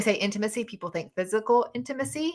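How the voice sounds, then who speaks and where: A woman with a Southern US accent, a bright, sharp tone, medium pitch, ordinary pitch variation and a fairly quick pace. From US South. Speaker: podcast host and dating mentor. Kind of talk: live audio chat room discussion. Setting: online live audio room.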